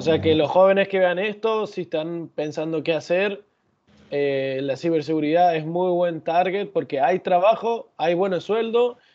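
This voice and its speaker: A high-pitched man speaks at a fairly slow pace with ordinary pitch variation. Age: young. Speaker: podcast host. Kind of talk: interview.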